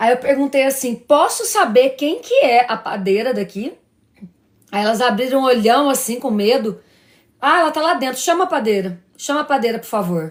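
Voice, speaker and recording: High-pitched for a woman, her voice has an animated tone and lively intonation. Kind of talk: religious live stream talk. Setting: live stream. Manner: fast.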